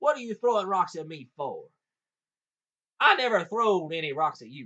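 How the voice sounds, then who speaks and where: Bright and sharp in tone, a man with a high pitch speaks at a fairly slow pace in a raised, projected voice with lively intonation. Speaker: audiobook reader. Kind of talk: folk tale reading.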